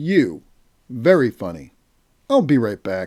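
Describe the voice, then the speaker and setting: A man puts on a character voice at medium pitch, with very wide pitch swings. He speaks at a fairly slow pace. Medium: read story. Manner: cocky, sarcastic.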